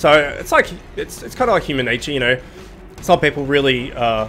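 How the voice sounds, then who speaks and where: With music playing in the background, a man speaks at a medium pitch. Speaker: gaming video host. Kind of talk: casual gameplay commentary.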